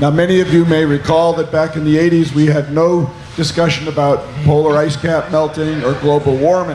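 A man with a fairly high voice talks at a moderate pace in a monotone, flat way, with noticeable background noise. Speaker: panel moderator, former politician. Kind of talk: panel discussion. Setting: stage with audience.

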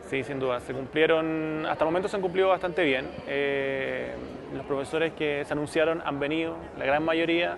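A man with a fairly high pitch talks at a moderate pace and with fairly even intonation over noticeable background noise. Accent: Chilean. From Chile. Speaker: journalist, social media manager. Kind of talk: interview testimonial; interview answer. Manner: hesitant, many fillers. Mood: relaxed, positive. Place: hall.

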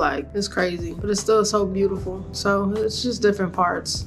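A woman speaks at a moderate pace with monotone, flat intonation. Clear music plays in the background. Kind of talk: casual vlog chat. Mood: reflective, a bit saddened. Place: home room. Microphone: phone near.

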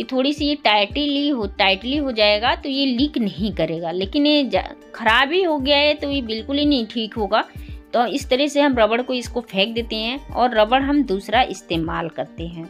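Faint music plays in the background as a woman with a high pitch speaks at a fairly slow pace. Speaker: home tips creator. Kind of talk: tutorial.

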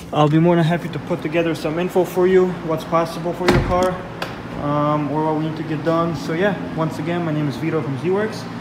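Over noticeable background noise, a man talks fairly quickly in a fairly high, monotone, flat voice. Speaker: car customization shop owner. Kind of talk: product walkthrough video; casual promotional talk. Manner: casual, with many filler ums. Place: garage. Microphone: phone near.

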